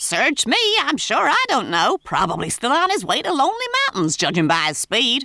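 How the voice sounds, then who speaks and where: A cartoonish character voice runs high in pitch at a moderate pace. Hardly any pauses break it up. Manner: dry, sardonic.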